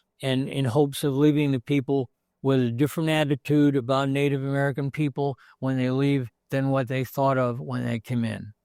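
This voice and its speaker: A man's fairly high voice, dark and mellow in tone, flat and monotone, at a fairly quick pace. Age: 70s. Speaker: museum owner. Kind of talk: interview. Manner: halting.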